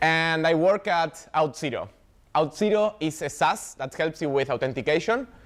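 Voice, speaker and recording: With an Argentine accent, a man talks at a moderate pace. His pitch varies in an ordinary way. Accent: non-native, Argentine. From Argentina, Buenos Aires. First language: Spanish. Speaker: software developer advocate, meetup speaker. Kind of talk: tech talk.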